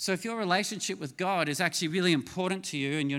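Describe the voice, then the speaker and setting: Very fast and high for a man, this bright, sharp Australian-accented voice has ordinary pitch variation in a very clean recording with a silent background. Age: 50s. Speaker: pastor. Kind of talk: sermon.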